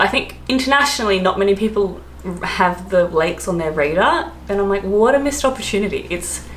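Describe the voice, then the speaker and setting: Amid audible room echo and noticeable background noise, a woman with an Australian accent speaks at a moderate pace. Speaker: travel and expat vlogger. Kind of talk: casual vlog talk. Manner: chatty, filler-heavy (um, like).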